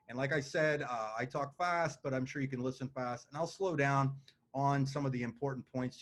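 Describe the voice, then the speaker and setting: A man talks at a fairly quick pace with a fairly high pitch and ordinary pitch variation. His voice is somewhat breathy. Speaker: business opportunity presenter. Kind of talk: sales pitch. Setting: video call with screen share. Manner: fast.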